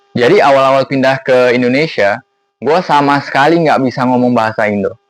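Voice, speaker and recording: This man speaks fairly quickly. The intonation remains fairly even throughout. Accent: English. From Singapore (Bukit Panjang). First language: English (speaking Indonesian). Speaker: vlogger. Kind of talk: casual vlog monologue. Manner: casual, conversational with fillers.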